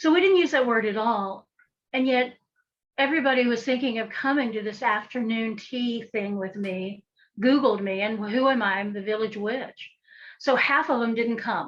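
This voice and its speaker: A woman with an American accent speaks at a moderate pace, with a fairly high pitch and ordinary pitch variation. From western North Carolina, Appalachia. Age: 60s. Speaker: folk magic practitioner and author. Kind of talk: podcast interview.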